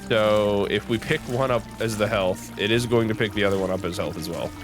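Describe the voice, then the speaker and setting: Over music in the background, a man talks in a relaxed tone at a fairly low pitch. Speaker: gaming commentator. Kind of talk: let's play commentary. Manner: casual, relaxed.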